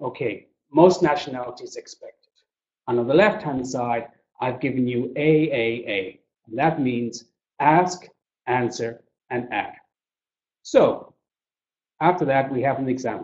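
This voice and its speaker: A fairly slow man's voice in an Irish accent, with ordinary pitch variation, big swings in loudness and long, frequent pauses. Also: medium pitch for a man. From Ireland. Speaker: business English trainer. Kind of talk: webinar presentation. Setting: webinar.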